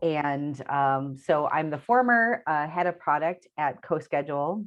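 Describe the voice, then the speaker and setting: A woman with an American accent and a very deep, low pitch. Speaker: product leader. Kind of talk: interview. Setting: video call.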